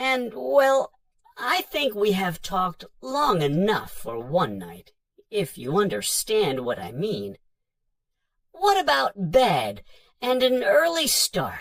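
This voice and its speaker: A put-on character voice from a man, pitched high and delivered at a fairly slow pace. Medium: read story. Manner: hesitant, polite, fumbling.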